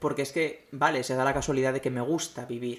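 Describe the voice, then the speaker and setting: A man at medium pitch and a fairly quick pace. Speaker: podcast host. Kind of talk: monologue commentary.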